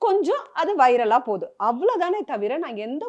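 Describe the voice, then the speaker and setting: A woman speaks at a high pitch. Her voice swings very widely in pitch. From Chennai, India. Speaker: serial actress. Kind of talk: emotional interview.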